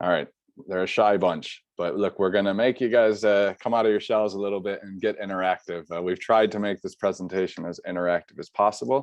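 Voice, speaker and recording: A man with an American accent speaks at a fairly quick pace in a fairly low pitch. His intonation stays fairly even over a quiet background. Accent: American, stands out locally. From US Midwest, Chicago. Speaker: study abroad internship coordinator. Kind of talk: webinar presentation. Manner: casual, many filler uhs.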